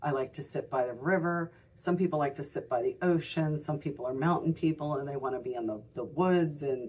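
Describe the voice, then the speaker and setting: A woman speaks at a fairly quick pace with a very deep, low pitch. Her tone is dark and mellow, and her intonation fairly even. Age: 60s. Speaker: tarot reader and shop owner. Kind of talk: tutorial. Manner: casual, halting with many fillers.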